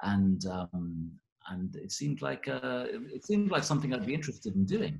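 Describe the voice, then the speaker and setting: The speaker moves at a moderate pace. Pitch swings are very wide. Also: man, fairly low pitch for a man. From Scotland, Glasgow, after early years in England. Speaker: plastic surgeon. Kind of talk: interview. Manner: halting, many fillers.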